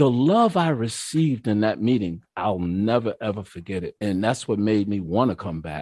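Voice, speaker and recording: A dark, mellow tone with a New York accent, in a dry, close sound with no echo. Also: man. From New York, Mount Vernon. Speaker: recovering alcoholic sharing his story. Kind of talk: testimony. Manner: animated.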